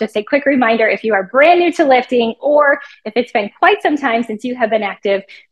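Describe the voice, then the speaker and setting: Over a quiet background, a woman speaks at a fairly quick pace. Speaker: fitness trainer. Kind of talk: promo intro and workout instruction. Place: gym.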